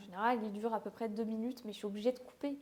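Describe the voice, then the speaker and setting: The voice has a dark, mellow tone and moves at a fairly quick pace with monotone, flat intonation. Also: woman. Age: 20s. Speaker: beauty content creator. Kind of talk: casual vlog talk to camera. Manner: fast; hesitant, with fillers.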